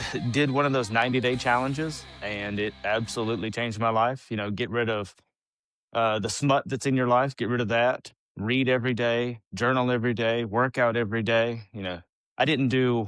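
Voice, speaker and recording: A man speaks at a fairly quick pace with a Southern US accent, his pitch medium and his intonation fairly even. The background is quiet. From US South, Alabama. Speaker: author and father, podcast guest. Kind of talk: casual chat.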